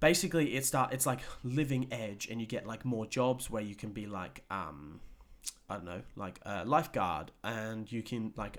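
This is a man with an unremarkable speaking voice at a medium pitch. His intonation is lively. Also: moderate pace. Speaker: podcast host. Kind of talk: casual chat. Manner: casual, swearing, relaxed.

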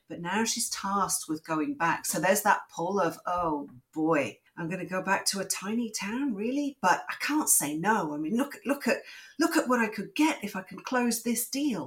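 Moderate pace and very wide pitch swings from a woman with a medium-pitched, somewhat breathy voice. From Switzerland (born in England). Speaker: novelist. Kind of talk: interview.

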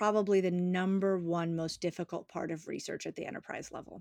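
Woman with a plain, everyday voice at a medium pitch and a fairly quick pace, on a very clean recording with a silent background. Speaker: UX researcher and army veteran. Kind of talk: interview.

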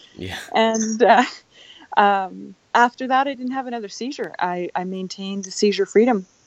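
A plain, everyday voice with a Canadian accent, moderate pace and ordinary pitch variation. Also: woman. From Canada. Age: 40s. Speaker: keto advocate with epilepsy. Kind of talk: interview conversation. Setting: remote call.

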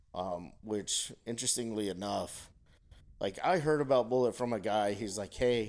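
A plain, everyday voice at a moderate pace, with ordinary pitch variation, comes through on a very clean recording with a silent background. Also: man. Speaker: guest, whiskey drinker. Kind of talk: casual chat over drinks. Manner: relaxed, joking.

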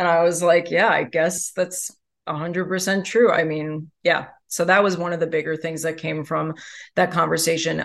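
Speaking at a moderate pace, a woman with an American accent uses a fairly low pitch and monotone, flat intonation. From New York. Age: 30s. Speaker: writer and comedian. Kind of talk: interview.

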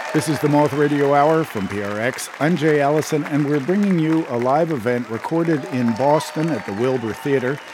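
Against crowd noise in the background, a man with a fairly high pitch speaks at a moderate pace with ordinary pitch variation and hardly any pauses. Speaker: radio producer and presenter. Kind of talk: scripted narration.

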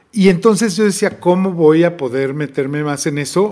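A normal speaking voice with ordinary pitch variation. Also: man. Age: 50s. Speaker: record label director and festival promoter. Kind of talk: interview.

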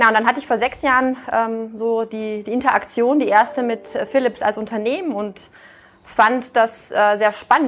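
A woman talks in an ordinary speaking voice. Her pitch is fairly high, and her pace is moderate. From Austria. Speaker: business executive. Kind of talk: interview.

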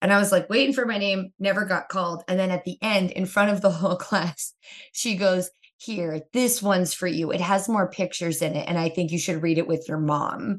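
In a plain, everyday voice, a woman talks at a fairly quick pace in a medium pitch with ordinary pitch variation. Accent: American. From US Northeast, Pennsylvania (Kingston). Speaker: comedian and TV writer. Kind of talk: casual chat.

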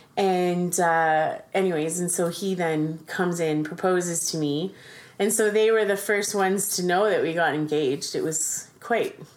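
With a Canadian accent, a woman talks in a plain, everyday voice, fairly low in pitch, with very even loudness, fairly even intonation and a moderate pace. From Ontario, Canada. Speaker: foster parent. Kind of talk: casual chat. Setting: at home around dining table.

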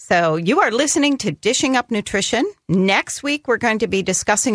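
A woman speaks at medium pitch with lively intonation in an ordinary speaking voice. The sound is dry and close with no echo, against a quiet background. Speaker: radio host and dietitian. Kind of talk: call-in radio show interview. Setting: studio.

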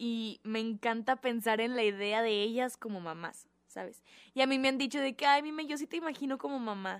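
The speaker has a Mexican accent. The pace is moderate, with ordinary pitch variation. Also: woman, fairly high pitch for a woman. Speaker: podcast co-host. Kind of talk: casual chat.

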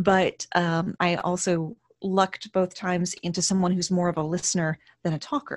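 A woman's normal speaking voice at medium pitch, moderate pace and fairly even intonation, in a dry, close sound with no echo. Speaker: burlesque performer, author and voice-over artist. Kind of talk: casual interview.

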